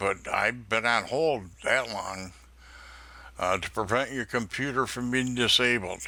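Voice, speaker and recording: A man with an upstate New York accent and a bright, sharp tone, speaking at a fairly slow pace. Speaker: scam baiter. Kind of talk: phone call with scammer, playing naive caller.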